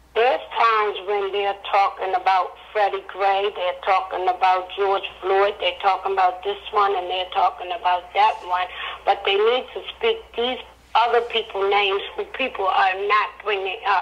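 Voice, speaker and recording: Against noticeable background noise, a woman with an American accent speaks at a moderate pace and medium pitch in a monotone, flat intonation. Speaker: guest, mother of a man who died in police custody. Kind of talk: emotional interview answer on a radio show.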